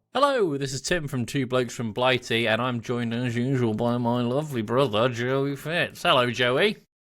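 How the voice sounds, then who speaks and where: In a very clean recording with a silent background, a man talks at a medium pitch with ordinary variation and hardly any pauses. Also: moderate pace. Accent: English. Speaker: podcast co-host. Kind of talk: casual chat.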